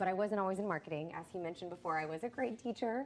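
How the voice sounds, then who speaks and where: Ordinary pitch variation in a woman's voice at a medium pitch. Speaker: marketing strategist. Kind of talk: panel talk. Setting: live event with audience and live stream. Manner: loud; animated.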